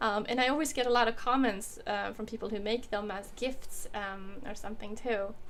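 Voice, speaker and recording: In a room with audible echo, a woman talks at a moderate pace with a fairly high pitch and fairly even intonation. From Sweden. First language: Swedish. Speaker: woodworking YouTuber. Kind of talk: casual livestream Q&A. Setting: home workshop, livestream. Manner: casual, hesitant with many fillers.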